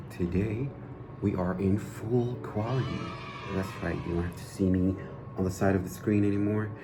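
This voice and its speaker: Through noticeable background noise and audible room echo, a man talks at a fairly low pitch. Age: 20s. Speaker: gaming youtuber. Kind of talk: casual vlog talk.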